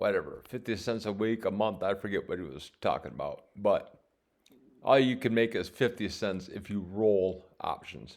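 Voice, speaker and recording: Mumbling from a man at a moderate pace, in a very clean recording with a silent background. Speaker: options trading vlogger. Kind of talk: screen-share tutorial. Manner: halting.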